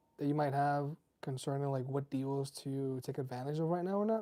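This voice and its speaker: The speaker is soft-spoken. The pace is moderate. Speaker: tech reviewer livestreamer. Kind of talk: casual livestream chat. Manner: relaxed, hesitant with fillers.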